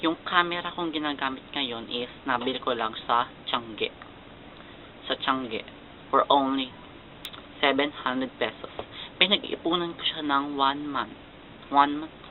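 Amid noticeable background noise, a man with a fairly high pitch speaks at a fairly slow pace, leaving long, frequent pauses, his intonation fairly even. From Philippines. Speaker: YouTuber. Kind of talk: casual vlog.

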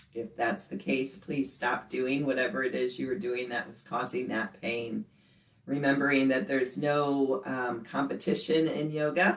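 Her pitch very deep and low, a woman talks at a moderate pace with ordinary pitch variation. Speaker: yoga instructor. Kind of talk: guided class instruction. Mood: calm, gentle. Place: home room. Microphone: camera far.

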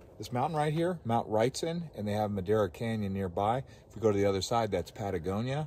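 A man with a plain, everyday voice speaks at a fairly low pitch and with lively intonation, the sound dry with no echo over light background noise. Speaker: travel vlogger. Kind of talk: casual vlog chat. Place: open country. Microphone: phone near.

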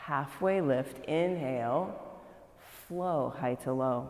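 A woman talks very slowly, and audible room echo hangs around her words. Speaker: yoga instructor. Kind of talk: class instruction cues. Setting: yoga studio, live class. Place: gym.

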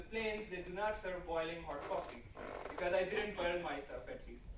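A man's high-pitched voice, fairly bright in tone, with audible room echo

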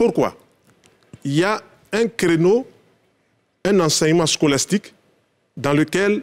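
A man's high-pitched voice with lively intonation. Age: 60s. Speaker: naturopath; guest. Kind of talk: TV talk show discussion. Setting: TV studio. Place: studio. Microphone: lapel.

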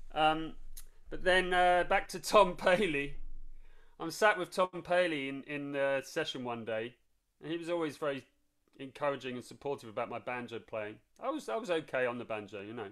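A man's fairly high voice at a moderate pace, with lively intonation and big swings in loudness. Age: 50s. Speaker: old-time fiddle and banjo musician. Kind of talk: casual interview. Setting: video call. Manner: hesitant, many fillers.

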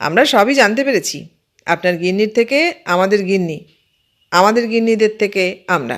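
A natural reading voice comes through against a quiet background.

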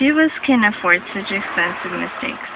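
A woman talks at a moderate pace in a dry sound with no echo, against noticeable background noise. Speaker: reader. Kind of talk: reading a text aloud. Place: home room. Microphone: phone near.

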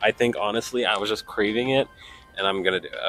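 A man with a fairly low pitch talks at a very fast pace with ordinary pitch variation, and the sound is dry with no echo. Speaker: vlogger. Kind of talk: casual vlog chat. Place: station. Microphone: handheld.

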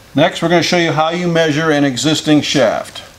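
A man's fairly high-pitched voice with audible echo from the room

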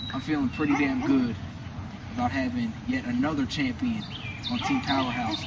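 A man speaks with ordinary pitch variation at a moderate pace while noticeable background noise is present. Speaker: backyard wrestling announcer character. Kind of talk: wrestling promo. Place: garden. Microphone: camera far.

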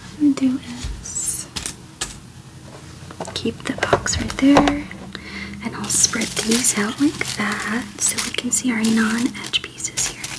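The voice is whispering at a very slow pace. Long, frequent pauses break it up. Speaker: ASMR creator. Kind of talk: ASMR jigsaw puzzle session. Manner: whispered, soft-spoken.

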